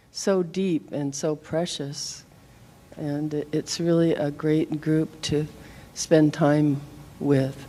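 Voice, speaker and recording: A woman speaks in a very deep, low voice. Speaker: daughter of missing soldier. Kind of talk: public testimony.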